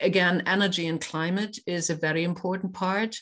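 In a German accent, a woman speaks at a fairly low pitch with fairly even intonation over a quiet background. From Germany (Kiel). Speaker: business association president. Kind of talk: interview. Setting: podcast recording. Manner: hesitant, many fillers.

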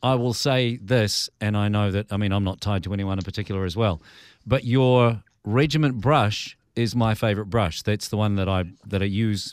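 A man with a New Zealand accent at a fairly low pitch, at a fairly quick pace with ordinary pitch variation. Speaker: podcast host. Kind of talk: podcast interview. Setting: radio desk, remote call.

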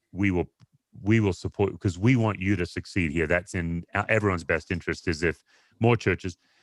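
A man with an Australian accent speaks at a fairly quick pace with very deep, low pitch and ordinary variation. The sound is dry and close, with no echo. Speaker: pastor and author. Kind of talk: interview conversation. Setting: video call.

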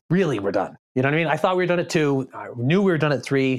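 Lively intonation marks a plain, everyday voice with an American accent. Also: man. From Boston area, Massachusetts. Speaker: pastor. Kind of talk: casual chat.

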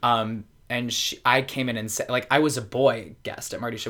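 With an American accent, a man speaks in a bright, sharp tone with fairly even intonation. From US Mid-Atlantic, Baltimore. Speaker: drag performer. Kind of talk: casual chat. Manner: halting, many fillers.

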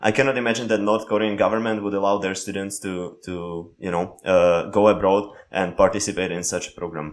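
A man with a Slovak accent talks fairly quickly with hardly any pauses, at a fairly low pitch with fairly even intonation. The recording is very clean, with a silent background. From Slovakia. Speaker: podcast co-host. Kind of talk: casual interview.

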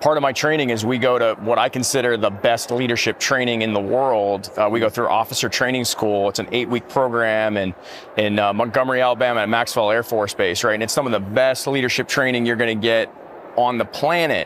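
A man speaks at a fairly quick pace with a medium pitch and fairly even intonation. His loudness stays very even, and noticeable background noise is present. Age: 30s. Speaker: military chaplain. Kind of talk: casual chat. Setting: conference floor.

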